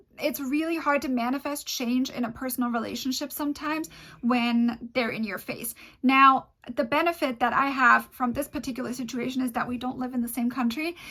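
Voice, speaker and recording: Raising and projecting her voice, a woman with a high pitch speaks at a fairly quick pace with fairly even intonation. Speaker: manifestation and law of assumption video creator. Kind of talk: casual talk to camera, personal-development advice.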